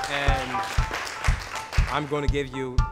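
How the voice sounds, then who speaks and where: Loud music fills the background. A man speaks at a medium tempo over it. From Senegal. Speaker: chef. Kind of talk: short speech to dinner guests. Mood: warm, welcoming. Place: kitchen.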